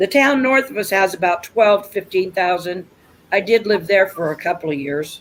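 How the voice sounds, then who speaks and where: A woman speaks in an ordinary speaking voice with an American accent, medium pitch, lively intonation and a moderate pace. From US Midwest, rural Nebraska. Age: 60s. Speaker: livestream host. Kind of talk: casual chat.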